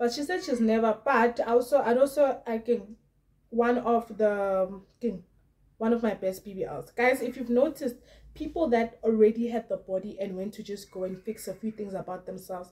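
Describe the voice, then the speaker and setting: A woman's fairly high voice with a dark, mellow tone, ordinary pitch variation and a moderate pace against a quiet background. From South Africa. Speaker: YouTuber commenting on celebrity gossip. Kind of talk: casual vlog commentary. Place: home room.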